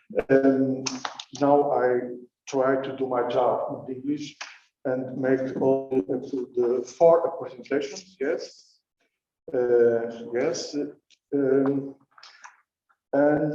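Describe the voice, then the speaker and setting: Over music in the background and audible room echo, a man with a fairly high pitch speaks very slowly in a flat monotone, leaving long, frequent pauses. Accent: Portuguese. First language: Portuguese. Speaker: session chair. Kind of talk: conference introduction. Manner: halting.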